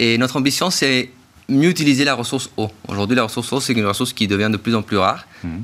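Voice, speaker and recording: Bright and sharp in tone, a man's voice holds a medium pitch with ordinary pitch variation. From Chile. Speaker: startup technical director.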